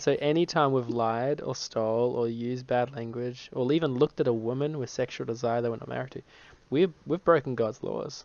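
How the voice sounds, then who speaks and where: The speaker talks at a fairly quick pace with an Australian accent and fairly even intonation. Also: man, medium pitch for a man. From Australia, Brisbane. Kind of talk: evangelistic conversation.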